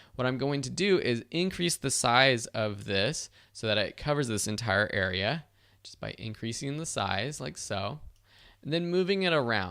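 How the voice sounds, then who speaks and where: This man's voice sits at a medium pitch with a bright, sharp tone and lively intonation. He talks at a moderate pace on a very clean recording with a silent background. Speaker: online course instructor. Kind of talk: tutorial.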